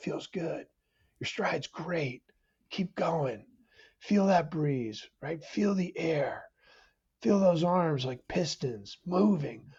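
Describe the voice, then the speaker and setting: Whispering in a raspy, put-on character voice, the speaker goes at a very slow pace with long, frequent pauses. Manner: whispering, encouraging.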